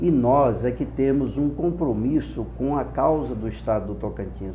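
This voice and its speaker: Audible room echo fills the space. In it, a man speaks at a fairly slow pace. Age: 60s. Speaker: politician, gubernatorial candidate. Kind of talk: political interview. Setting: studio. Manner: impassioned oratorical.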